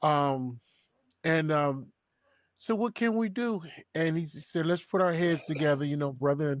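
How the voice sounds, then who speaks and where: Against a quiet background, a man with a fairly high pitch speaks at a fairly slow pace with lively intonation in a dry, close sound with no echo. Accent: American. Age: 60s. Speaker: high school football coach. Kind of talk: podcast interview. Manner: emotional, conversational.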